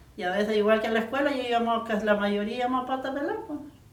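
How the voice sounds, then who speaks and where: Noticeable background noise behind a woman with a high pitch, fairly even intonation, and a fairly quick pace. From Puyiscan, southern Chile. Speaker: rural Mapuche Lafkenche woman. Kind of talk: interview answer, recalling childhood.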